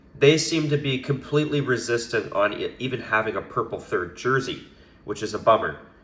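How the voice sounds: A raspy man with a fairly bright tone speaks at a moderate pace, with audible room echo.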